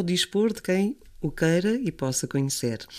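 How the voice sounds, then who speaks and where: A woman with a European Portuguese accent speaks at a fairly low pitch, her dark, mellow tone rising and falling in very wide pitch swings. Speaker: podcast host. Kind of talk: casual chat.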